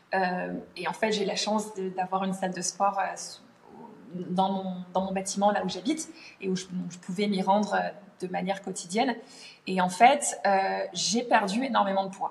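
Somewhat breathy and of medium pitch, this woman speaks at a fairly slow pace with fairly even intonation. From France. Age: 30s. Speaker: language teacher. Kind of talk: casual interview. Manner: hesitant, many fillers.

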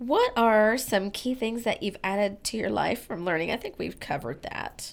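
A woman speaks in a plain, everyday voice, fairly high in pitch, with lively intonation at a fairly slow pace. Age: 50s. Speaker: podcast host. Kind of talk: interview.

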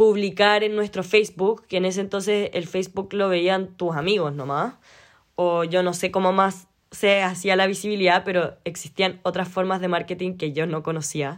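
A woman speaks at medium pitch and a moderate pace with fairly even intonation. The recording is very clean, with a silent background. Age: 20s. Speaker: podcast host and knitting entrepreneur. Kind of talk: solo casual monologue.

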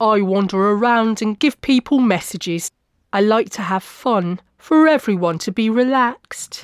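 An ordinary speaking voice from a woman, fairly high-pitched with ordinary pitch variation, at a moderate pace on a very clean recording with a silent background. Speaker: author narrating visits to medium events. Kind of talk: scripted narration, reading aloud a travelogue.

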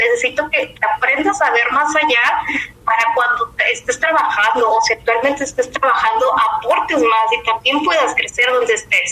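A woman speaks in a raised, projected voice at a high pitch, with hardly any pauses and very even loudness. Her intonation is lively, and there is noticeable background noise. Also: moderate pace. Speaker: business professional. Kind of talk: interview. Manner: halting.

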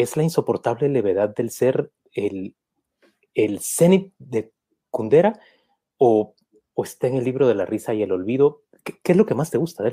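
A man's dark, mellow voice at a moderate pace with long, frequent pauses, dry and close with no echo. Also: medium pitch for a man, lively intonation. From Guatemala. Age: 50s. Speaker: journalist, interviewer. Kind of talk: interview. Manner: halting, repeats words.

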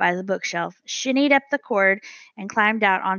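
The clip offers an unforced reading voice. That voice is heard here.

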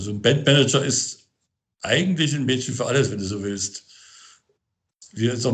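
A man is speaking at a moderate pace. His voice sounds somewhat breathy. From Thuringia, Germany (Gotha district). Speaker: band and tour manager. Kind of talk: interview. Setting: remote call. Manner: halting, many fillers and repetitions.

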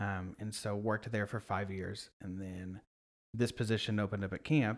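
A man speaks at a moderate pace in a fairly low pitch, his intonation flat and monotone, on a very clean recording with a silent background. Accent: American. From Oklahoma, US. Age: 20s. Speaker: nonprofit camp marketing director. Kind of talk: casual interview.

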